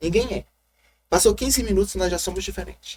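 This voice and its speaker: This man has a Maranhão accent. His tone is animated. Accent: Maranhão accent, sing-song. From Maranhão, northeastern Brazil. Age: 40s. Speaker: city councillor, former drag performer and radio host. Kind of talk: interview.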